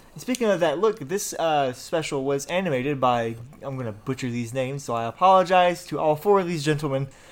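A man's fairly high voice, fairly quick and lively in intonation, with hardly any pauses. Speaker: podcast host. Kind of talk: casual chat. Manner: animated.

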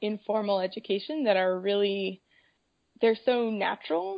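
With a General American accent, a woman speaks in a plain, everyday voice at a medium pitch and moderate pace. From Colorado. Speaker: kindergarten teacher. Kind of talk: casual interview.

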